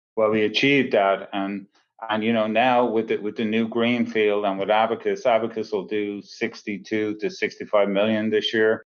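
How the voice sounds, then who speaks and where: A man speaks with a fairly low pitch. His intonation is monotone and flat, at a moderate pace. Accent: Irish. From Dublin, Ireland. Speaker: plumbing company CEO. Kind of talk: podcast interview answer.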